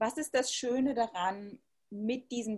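The woman's voice is somewhat breathy. She speaks at a fairly slow pace. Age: 30s. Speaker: interviewer. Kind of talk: interview. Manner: formal.

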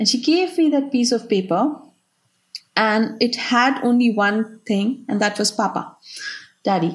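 Her voice sits fairly high, and her loudness stays very even. She speaks with long, frequent pauses. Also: lively intonation. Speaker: aid organisation worker. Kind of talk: interview. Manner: halting, searching for words.

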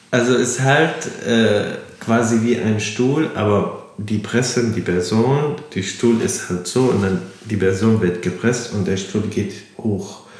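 A man speaks very slowly with an Arabic accent and ordinary pitch variation. Room echo is audible, along with noticeable background noise. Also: medium pitch for a man. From Syria, Damascus. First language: Arabic (speaking German). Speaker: refugee. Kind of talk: casual interview. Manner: halting.

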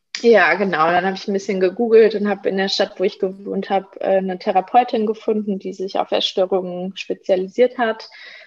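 There is noticeable background noise. A woman talks at a fairly quick pace with fairly even intonation. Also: medium pitch for a woman, hardly any pauses. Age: 20s. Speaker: social worker and eating disorder counsellor. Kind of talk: interview.

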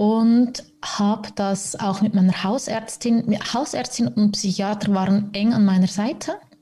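A woman speaks at a medium pitch with ordinary pitch variation, very slowly and with hardly any pauses. Noticeable background noise is present. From Switzerland, Zürich. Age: 30s. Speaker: podcast guest, mother in recovery from alcohol. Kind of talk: casual interview chat.

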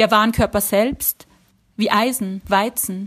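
A woman with an Austrian accent speaks at a very slow pace in a fairly high pitch. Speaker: writer. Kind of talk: reading aloud.

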